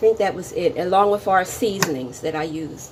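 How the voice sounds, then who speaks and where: A woman talks in a normal speaking voice at medium pitch and a moderate pace. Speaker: cooking channel host. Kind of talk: cooking tutorial.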